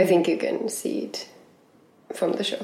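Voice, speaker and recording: Room echo is audible as a woman speaks. She talks at a moderate pace in a Finnish accent. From Finland. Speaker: circus artist. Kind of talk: casual chat. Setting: at home.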